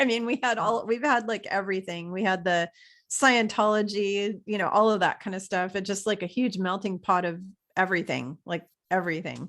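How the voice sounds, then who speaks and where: A woman with an American accent talks at a fairly quick pace in a medium pitch, on a very clean recording with a silent background. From USA. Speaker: podcast host. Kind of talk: casual chat. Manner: animated.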